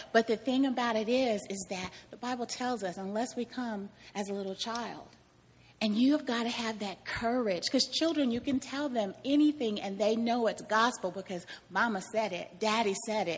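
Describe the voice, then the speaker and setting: A woman with an American accent talks at a moderate pace in a fairly high, somewhat breathy voice with ordinary pitch variation. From Kansas. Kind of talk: testimony.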